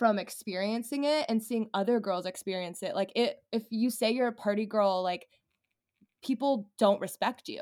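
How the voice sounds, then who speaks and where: A woman with an ordinary speaking voice, fairly high in pitch, with ordinary pitch variation at a moderate pace. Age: 20s. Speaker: brand founder. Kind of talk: casual interview chat.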